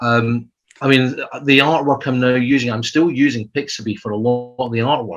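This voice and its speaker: This man has a Scottish accent and a medium pitch. His intonation is fairly even. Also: moderate pace. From Scotland. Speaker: adventure writer. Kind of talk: casual chat. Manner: halting.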